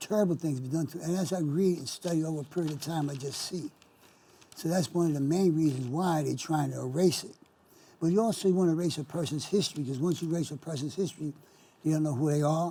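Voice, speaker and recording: A man with an American accent speaks at a very fast pace. His tone is dark and mellow. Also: fairly high pitch for a man, fairly even intonation. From New York, the Bronx. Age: 70s. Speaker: local TV host, history enthusiast. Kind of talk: interview conversation. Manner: halting, repetitive.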